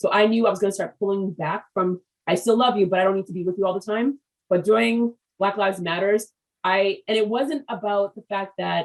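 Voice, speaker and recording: A woman with an American accent talks in a normal speaking voice at a medium pitch, with ordinary pitch variation and a fairly quick pace. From US, Haitian American family. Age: 50s. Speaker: business podcast host. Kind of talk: interview.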